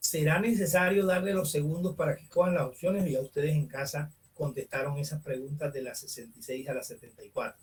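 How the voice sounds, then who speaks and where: A man with a fairly high pitch talks at a fairly quick pace with hardly any pauses, showing big swings in loudness and ordinary pitch variation. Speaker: teacher. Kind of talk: online class lecture. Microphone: far from the computer mic, quiet.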